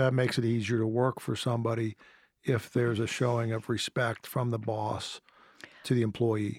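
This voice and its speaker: In a monotone, flat intonation, a man of medium pitch keeps a very even loudness at a moderate pace. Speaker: podcast host. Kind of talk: interview; scripted introduction.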